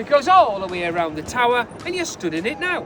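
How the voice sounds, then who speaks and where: With a Geordie accent, a man speaks at a fairly quick pace in an extremely high pitch with very wide pitch swings, over noticeable background noise. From northeast England, Newcastle. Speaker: tour guide. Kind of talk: guided tour. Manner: animated.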